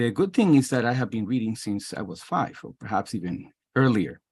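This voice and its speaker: Lively intonation in a Spanish accent against a quiet background. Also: man. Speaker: history professor. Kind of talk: self-introduction in a workshop. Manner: halting.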